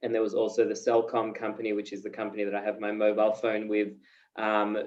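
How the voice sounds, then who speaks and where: Speaking at a very fast pace, a man with an Australian accent keeps a fairly low pitch and a monotone, flat intonation. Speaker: peace education director and journalist. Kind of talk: video call talk. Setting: video call. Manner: hesitant, many fillers.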